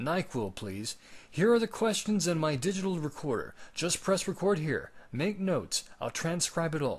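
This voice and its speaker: A put-on character voice sounds raspy and hoarse. Its intonation is lively, and the pace is moderate. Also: man, high pitch for a man. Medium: read story.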